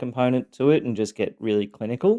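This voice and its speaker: A man with an Australian accent talks at a very fast pace in a dark, mellow tone. The background is quiet. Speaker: abuse survivor podcaster. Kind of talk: personal testimony. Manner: halting, many fillers; sometimes monotone, clinical.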